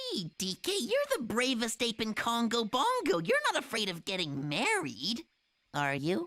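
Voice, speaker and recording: A cartoonish character voice pitched fairly high. It moves at a moderate pace. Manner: excitable, youthful.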